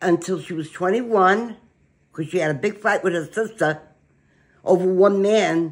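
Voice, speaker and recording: A woman with a New York accent speaks at a fairly slow pace. Her pitch varies in an ordinary way, over a quiet background. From Brooklyn, New York. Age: 80s+. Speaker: grandmother telling family history. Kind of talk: interview answer. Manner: feisty, blunt. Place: kitchen. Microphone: phone near.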